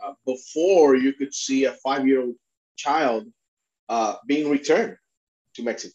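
With a Spanish accent, a man speaks fairly slowly in a fairly high pitch with ordinary pitch variation and long, frequent pauses, in a dry, close sound with no echo. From Puerto Rico. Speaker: immigration attorney and refugee advocate. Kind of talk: interview.

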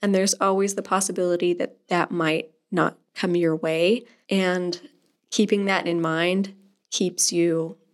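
A woman with an American accent speaks in an ordinary speaking voice, fairly low in pitch. Her pace is fairly slow and her intonation fairly even. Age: 20s. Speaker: youth ministry volunteer leader and pianist. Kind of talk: interview.

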